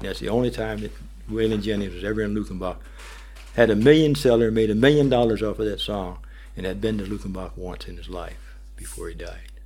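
A man with an American accent talks at a fairly quick pace, his loudness swinging widely. Room echo is audible. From US North, Pennsylvania-Ohio border. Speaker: war veteran and guitarist. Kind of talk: radio interview. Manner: halting.

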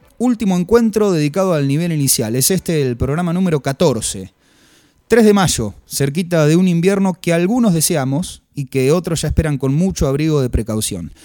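A man speaks with a fairly high pitch and a dark, mellow tone. His intonation is lively, in a very clean recording with a silent background. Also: moderate pace. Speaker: radio host. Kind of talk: radio monologue and interview. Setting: radio studio.

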